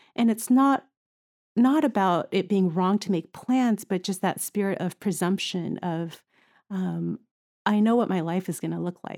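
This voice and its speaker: A woman speaks at a fairly slow pace with a medium pitch and ordinary pitch variation. It is a plain, everyday voice. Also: dry, close sound with no echo. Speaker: pediatric ICU nurse. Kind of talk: casual interview chat.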